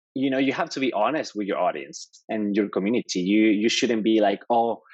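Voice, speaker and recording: Against a quiet background, a man speaks with a Mexican accent. His pitch is fairly low, with ordinary variation. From Mexico. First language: Spanish. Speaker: developer advocate. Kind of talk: podcast interview.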